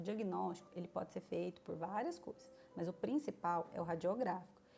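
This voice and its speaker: A woman speaks at a moderate pace with fairly low pitch. It is a plain, everyday voice. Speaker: nursing teacher. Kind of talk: lecture. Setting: online class.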